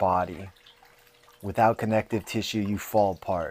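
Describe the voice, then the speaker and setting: Over noticeable background noise, a man with an American accent speaks in a monotone, flat intonation at a fairly low pitch. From US West Coast, San Jose. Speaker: podcast host and fighter. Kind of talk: casual monologue.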